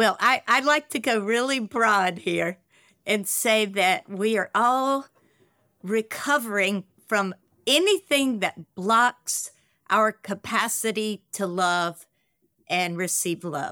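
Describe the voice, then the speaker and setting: A woman speaks very slowly in a fairly high voice with lively intonation, her dry, close sound free of echo on a very clean recording with a silent background. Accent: Southern US. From US South, Carolinas. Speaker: nonprofit co-founder.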